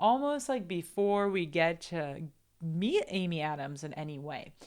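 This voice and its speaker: Very wide pitch swings in a Portuguese accent. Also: woman, very clean recording, silent background. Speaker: film commentator. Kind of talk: film analysis commentary.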